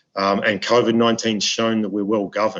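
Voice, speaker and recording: In an Australian accent, a man speaks at a moderate pace with monotone, flat intonation. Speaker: ambassador. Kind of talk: webinar speech. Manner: halting with many repetitions.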